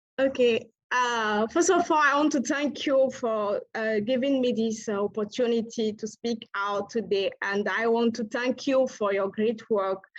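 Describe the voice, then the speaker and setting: A woman with a West African accent speaks at a fairly slow pace, her pitch fairly high. She hardly pauses at all. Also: ordinary pitch variation. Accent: French-speaking West African. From Togo. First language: French. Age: young. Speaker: climate activist. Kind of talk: speech at a virtual award ceremony. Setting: video call. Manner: halting.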